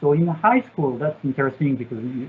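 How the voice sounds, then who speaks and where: Here a man speaks with a French accent and a fairly high pitch. His pitch varies in an ordinary way. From France. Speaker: satellite engineer. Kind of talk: Q&A session. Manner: halting, many fillers.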